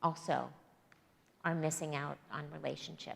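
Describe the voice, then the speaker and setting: Vocal fry runs through this woman's speech, delivered at a moderate pace. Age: 60s. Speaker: guest preacher. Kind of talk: sermon. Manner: halting, many fillers and restarts.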